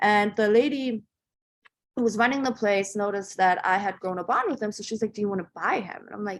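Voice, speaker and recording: A woman with a German accent, medium pitch, fairly even intonation, big swings in loudness and a fairly quick pace. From Germany, then Northern Virginia from age 12. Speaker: entrepreneur. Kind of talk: interview storytelling. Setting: podcast interview. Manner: casual with many fillers.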